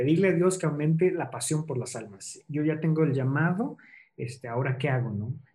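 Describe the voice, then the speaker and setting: Somewhat breathy and dark, mellow in tone, a man's fairly high voice moves at a moderate pace with ordinary pitch variation. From central Mexico, Toluca. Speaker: missionary. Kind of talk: interview.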